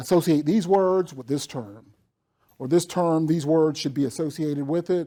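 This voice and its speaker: In a strong Southern US accent, a man with a fairly high but dark, mellow voice speaks at a moderate pace with ordinary pitch variation on a very clean recording with a silent background. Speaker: professional development director and accessibility trainer. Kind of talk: lecture. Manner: casual, conversational.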